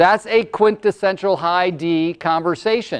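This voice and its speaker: This loud voice moves at a fairly slow pace with ordinary pitch variation over a quiet background. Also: man. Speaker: motivational speaker and coach. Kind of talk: workshop presentation.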